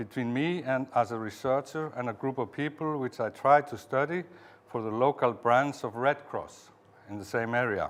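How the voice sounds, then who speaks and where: A man speaks with an Icelandic accent at a moderate pace. His pitch is medium, with ordinary variation. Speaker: museum director and researcher. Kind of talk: conference talk. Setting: conference with audience. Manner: halting; reading aloud from script.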